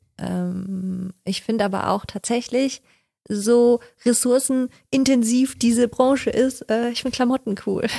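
At a fairly slow pace, a woman with a high pitch and a dark, mellow tone speaks with fairly even intonation, the sound dry and close with no echo against a quiet background. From western Germany, Odenthal near Cologne. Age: 30s. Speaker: freelance communication designer. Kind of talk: casual interview chat.

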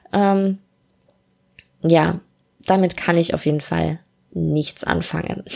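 A woman speaks at a very slow pace, with long, frequent pauses. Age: 20s. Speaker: podcast host, student and freelance copywriter. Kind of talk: solo casual podcast monologue. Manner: casual with many filler sounds.

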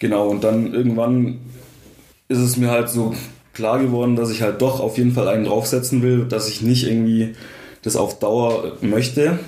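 A man of medium pitch speaks at a moderate pace in a monotone, flat intonation, with audible room echo and noticeable background noise. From Swabia, Germany (Swabian Alb). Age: 20s. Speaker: engineering student. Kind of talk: casual interview. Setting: in-person, sitting across from host.

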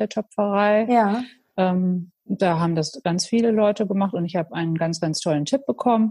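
At a moderate pace, a woman speaks in a medium-pitched, somewhat breathy voice with a dark, mellow tone and ordinary pitch variation. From Münsterland, Germany. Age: 40s. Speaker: pottery studio owner. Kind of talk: casual interview. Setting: online call. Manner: hesitant, many fillers.

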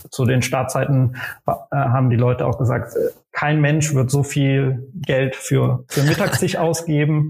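A somewhat breathy man's voice, fairly high pitched, at a very slow pace with very even loudness. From western Germany, Aachen. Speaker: startup founder and CEO. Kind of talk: podcast interview. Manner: hesitant, many fillers.

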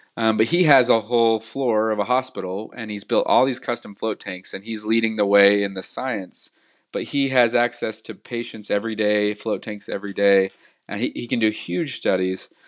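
With an American accent, a man speaks in a normal speaking voice at a medium pitch, keeping a moderate pace and fairly even intonation. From Utah, US (Salt Lake City). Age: 30s. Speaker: entrepreneur. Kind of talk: interview.

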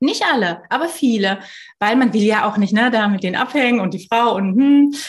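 An ordinary speaking voice from a woman, fairly high-pitched, at a moderate pace with lively intonation. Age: 30s. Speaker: founder of a working-mothers initiative. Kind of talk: casual interview.

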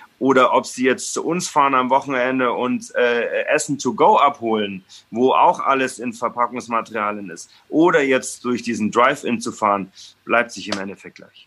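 With lively intonation and a bright, sharp tone, a man speaks at medium pitch and a moderate pace. His loudness swings a lot. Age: 30s. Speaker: restaurant owner and chef. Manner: halting, many fillers.

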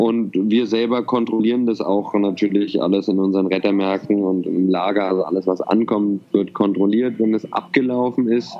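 A man's normal speaking voice, fairly low in pitch, at a moderate pace with hardly any pauses, fairly even intonation and very even loudness. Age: 30s. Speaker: social entrepreneur. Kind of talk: interview.

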